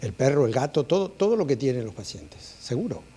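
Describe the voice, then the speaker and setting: Speaking fairly quickly with an Argentine accent, a man uses lively intonation at a medium pitch, his dark, mellow tone somewhat breathy. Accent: Argentine (La Plata). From Argentina (La Plata). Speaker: clinical geneticist. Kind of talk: conference talk. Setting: auditorium with audience. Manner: hesitant, many fillers.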